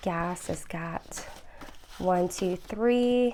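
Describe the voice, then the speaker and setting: A soft-spoken woman talks at a medium pitch with fairly even intonation. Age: 30s. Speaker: budgeting vlogger. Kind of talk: casual tutorial vlog. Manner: hesitant with frequent fillers.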